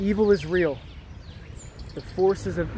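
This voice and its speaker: A man talks at a moderate pace. The sound is dry with no echo, though background noise is noticeable. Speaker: vlogger. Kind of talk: casual vlog chat. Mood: earnest, preachy. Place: street. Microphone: phone near.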